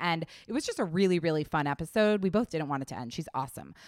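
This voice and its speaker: Animated and lively in intonation, a woman talks very fast at a fairly low pitch. The recording is very clean, with a silent background. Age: 30s. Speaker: podcast host. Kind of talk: casual interview chat.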